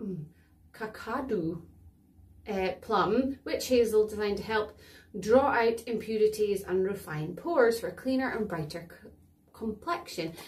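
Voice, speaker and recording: A woman talks at a fairly slow pace in a fairly high, somewhat breathy voice. Her intonation is lively, and her loudness swings widely. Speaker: beauty vlogger. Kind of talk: product demo tutorial. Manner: casual chatty.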